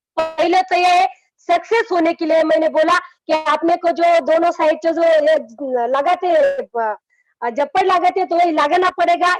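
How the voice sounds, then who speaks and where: A woman with an extremely high pitch talks with hardly any pauses, very even loudness and ordinary pitch variation. Music plays in the background, and the sound is dry and close with no echo. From rural Maharashtra, India (village near Aurangabad). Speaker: network marketing business leader. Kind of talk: motivational talk in an online meeting interview.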